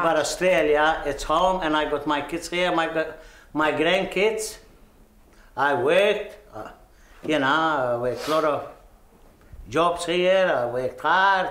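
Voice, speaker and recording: With a Maltese accent, a man talks at a fairly slow pace in a fairly high pitch, leaving long, frequent pauses amid audible room echo. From Malta. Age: 70s. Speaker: migrant interviewee. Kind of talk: interview.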